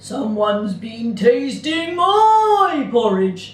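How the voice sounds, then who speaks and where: A put-on character voice speaks at a fairly high pitch and a very slow pace. A slight echo can be heard. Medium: read story.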